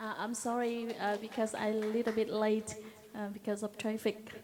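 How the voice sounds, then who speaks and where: A woman with a Vietnamese accent speaks at a fairly high pitch and a moderate pace, with monotone, flat intonation. Music plays in the background. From southern Vietnam, Binh Thuan. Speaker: Agent Orange survivor and advocate. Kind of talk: personal testimony. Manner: halting.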